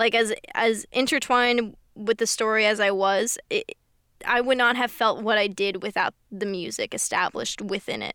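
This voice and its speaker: Very cleanly recorded against a silent background, a woman speaks at a moderate pace with a fairly high pitch. Her tone is bright and sharp, and her intonation stays fairly even. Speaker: podcast host. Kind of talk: casual chat.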